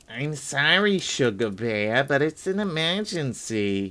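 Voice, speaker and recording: Put-on character voice from a man, fairly high-pitched with very wide pitch swings, at a fairly slow pace. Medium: read story. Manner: brisk, matter-of-fact.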